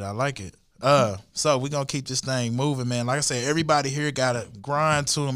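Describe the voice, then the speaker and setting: In a very clean recording with a silent background, a man talks at a fairly quick pace with fairly even intonation. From Fort Worth, Texas. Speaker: podcast host with radio background. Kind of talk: casual chat.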